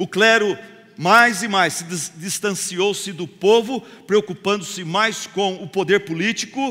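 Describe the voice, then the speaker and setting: A man raises his voice to project it, at a high pitch. He speaks at a fairly slow pace with ordinary pitch variation. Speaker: pastor. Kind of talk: sermon. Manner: animated.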